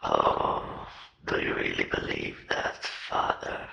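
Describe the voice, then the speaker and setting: The speaker uses a put-on character voice at a fairly slow pace. A slight echo is audible. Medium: audio drama.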